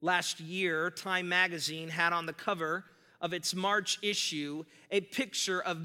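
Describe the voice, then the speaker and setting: A man's high, bright, sharp voice at a very slow pace on a very clean recording with a silent background. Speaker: pastor. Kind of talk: sermon. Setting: church. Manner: loud; animated.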